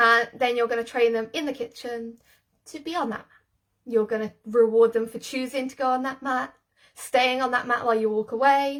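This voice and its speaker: A woman speaks in a high voice with flat, monotone intonation. Her loudness swings widely. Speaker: dog trainer. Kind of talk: live stream tutorial. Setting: live video stream. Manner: fast.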